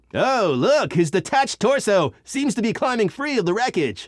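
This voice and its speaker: The speaker uses a put-on character voice at a moderate pace. The recording is very clean, with a silent background. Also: man, high pitch for a man. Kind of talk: sports broadcast color commentary.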